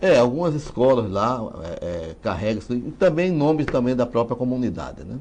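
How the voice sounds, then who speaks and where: A man at a medium pitch and moderate pace, with very wide pitch swings. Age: 60s. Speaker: writer and genealogist. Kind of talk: interview.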